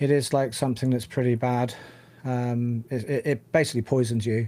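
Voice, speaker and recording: A man with a British accent speaks at a moderate pace in a medium-pitched, dark and mellow voice with monotone, flat intonation. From UK. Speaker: tech podcast co-host. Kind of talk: casual chat. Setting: live stream.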